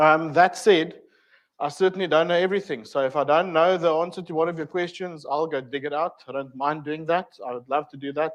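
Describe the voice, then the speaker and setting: At a fairly quick pace, a man with a South African accent talks in a fairly high pitch over a quiet background. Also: fairly even intonation. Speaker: technical trainer. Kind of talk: lecture. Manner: hesitant, many fillers.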